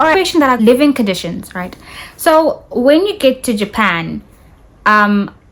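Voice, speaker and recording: A woman speaks in a high voice with very wide pitch swings, and noticeable background noise is audible. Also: moderate pace. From South Africa, Rustenburg. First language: Tswana. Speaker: YouTuber, English teacher in Japan. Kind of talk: casual vlog advice.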